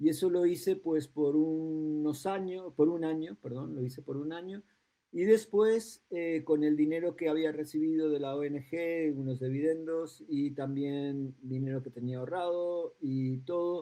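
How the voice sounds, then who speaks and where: At a fairly slow pace, a man speaks with a fairly high pitch and a dark, mellow tone. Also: ordinary pitch variation. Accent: Uruguayan. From raised between Madrid and New York, Uruguayan-born. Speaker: educational psychologist, school director. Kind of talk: podcast interview. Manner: halting, many fillers.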